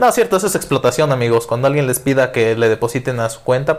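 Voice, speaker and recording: A man speaks with a medium pitch. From Mexico, Guerrero. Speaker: podcast co-host. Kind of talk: casual chat. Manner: animated.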